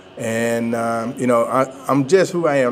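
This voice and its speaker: A man talks at a fairly slow pace with a Georgia accent. His pitch is medium. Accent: Southern US (Georgia). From US South, Georgia (Thomaston). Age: 60s. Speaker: pastor. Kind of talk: interview. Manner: halting.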